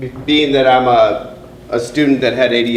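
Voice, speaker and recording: The recording carries noticeable background noise and audible room echo. A man speaks through it at a fairly quick pace. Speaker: middle school principal. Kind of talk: presentation to parents. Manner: loud.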